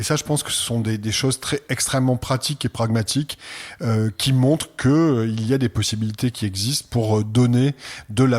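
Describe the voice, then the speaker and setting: A man's medium-pitched voice at a moderate pace, with fairly even intonation, in a very clean recording with a silent background. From France. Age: 60s. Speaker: art center director. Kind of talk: interview. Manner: hesitant, many fillers.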